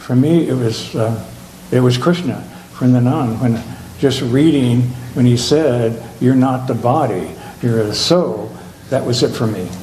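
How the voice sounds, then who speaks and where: A man at medium pitch with ordinary pitch variation, a fairly slow pace and long, frequent pauses, amid audible room echo and noticeable background noise. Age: 70s. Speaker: retreat participant. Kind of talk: testimony.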